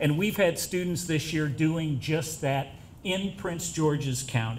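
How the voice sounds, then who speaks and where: There is audible room echo as a man speaks at a fairly slow pace and a fairly high pitch. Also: ordinary pitch variation. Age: 60s. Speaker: professor. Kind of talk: speech at reception.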